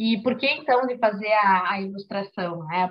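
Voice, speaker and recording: Somewhat breathy, a woman with a fairly high pitch speaks at a moderate pace with fairly even intonation. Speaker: author and illustrator. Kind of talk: book club talk. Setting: video call.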